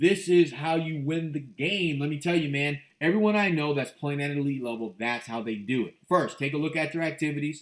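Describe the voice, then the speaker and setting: The delivery is animated and fairly quick, with hardly any pauses. Pitch varies in an ordinary way. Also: man, fairly high pitch for a man. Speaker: real estate investor and motivational show host. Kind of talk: motivational monologue. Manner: fast.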